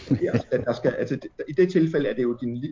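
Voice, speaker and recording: This man's voice is somewhat breathy. He talks at a moderate pace, his intonation lively. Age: 40s. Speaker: journalist and editor. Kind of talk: casual chat. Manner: hesitant, many fillers.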